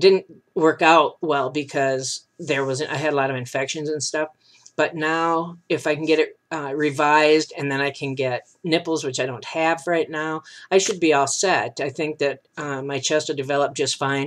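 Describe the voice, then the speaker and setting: Fairly high in pitch, a man talks at a moderate pace with fairly even intonation and an ordinary speaking voice. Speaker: vlogger. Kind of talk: casual video update. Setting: webcam video. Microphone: new webcam.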